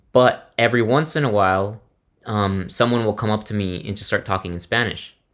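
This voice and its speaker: In a very clean recording with a silent background, a man with an ordinary speaking voice talks at a fairly low pitch with fairly even intonation. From US, Mexican family. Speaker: podcast host. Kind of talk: casual chat.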